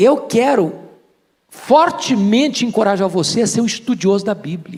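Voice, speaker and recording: Animated in tone, a man speaks at a high pitch with lively intonation. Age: 60s. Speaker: pastor. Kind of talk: sermon.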